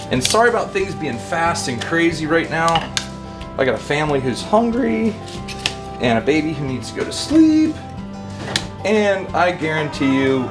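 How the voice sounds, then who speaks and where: Someone talks at a moderate pace with long, frequent pauses. Clear music plays in the background. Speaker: cooking vlogger. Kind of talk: casual cooking vlog chat. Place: kitchen. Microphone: camera far.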